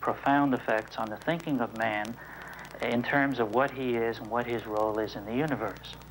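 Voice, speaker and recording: Fairly even intonation in an ordinary speaking voice. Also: man. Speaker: NASA scientist. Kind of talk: interview answer.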